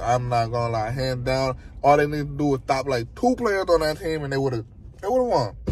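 A man speaks at a very fast pace with ordinary pitch variation. The sound is dry with no echo. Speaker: vlogger. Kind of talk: casual vlog chat. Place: car. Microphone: phone near.

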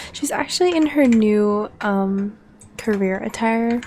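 A woman whispers quietly over noticeable background noise. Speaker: gaming video creator. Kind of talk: let's play commentary. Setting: at home late at night. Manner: casual, filler-heavy.

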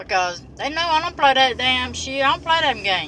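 A woman's voice swings very widely in pitch, with a dry sound with no echo and light background noise. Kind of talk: casual vlog chat. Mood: irritated, defiant about work drama. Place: car. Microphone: phone near.

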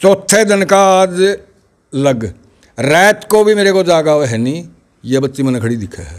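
Against a quiet background, a man with a high pitch speaks at a fairly slow pace, taking long, frequent pauses, his pitch swinging very widely and his loudness shifting greatly. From Haryana, India. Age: 70s. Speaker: village elder, grandfather of a top student; interviewee. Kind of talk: interview. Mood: happy, animated. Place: home room. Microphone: handheld.

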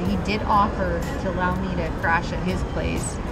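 A woman talks over music playing in the background. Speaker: travel vlogger. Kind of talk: casual vlog chat. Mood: annoyed, venting about host. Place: station. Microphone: phone near.

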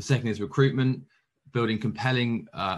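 A man talks at a fairly quick pace in a normal speaking voice with ordinary pitch variation. The background is quiet. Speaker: presenter. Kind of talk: conference presentation. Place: home room. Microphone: webcam.

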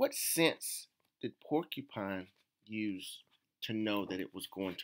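Reading aloud in a natural voice, the speaker uses lively intonation. The background is quiet.

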